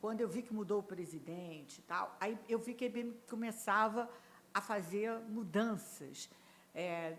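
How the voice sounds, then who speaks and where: Moving through very wide pitch swings, a woman speaks at a very slow pace. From Rio de Janeiro, Brazil. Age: 70s. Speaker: HR executive. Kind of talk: podcast interview.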